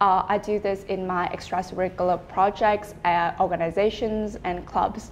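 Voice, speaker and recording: A Vietnamese accent carries a monotone, flat intonation at a moderate pace. There are hardly any pauses. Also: woman, medium pitch for a woman. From Vietnam, Hanoi. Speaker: student, exam candidate. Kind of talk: speaking exam interview.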